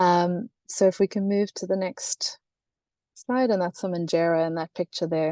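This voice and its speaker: A woman with a South African accent speaks at a moderate pace, her fairly low pitch carrying a dark, mellow tone. The sound is dry and close with no echo over a quiet background. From South Africa, Cape Town. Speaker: gender and climate consultant. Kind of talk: webinar presentation.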